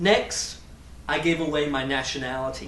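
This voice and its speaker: Speaking at a fairly slow pace with an English accent, a man shows ordinary pitch variation over audible room echo and noticeable background noise. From England. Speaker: graduate student. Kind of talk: personal talk to a community audience.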